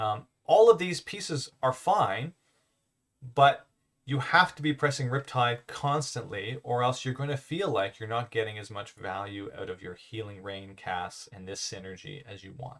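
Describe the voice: A man speaks at a fairly slow pace with ordinary pitch variation. His voice is fairly low and fairly bright in tone.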